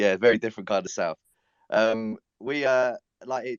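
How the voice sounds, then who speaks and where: Someone with a southern English accent talks at a fairly quick pace. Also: man. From England. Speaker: NFT project founder. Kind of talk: casual chat.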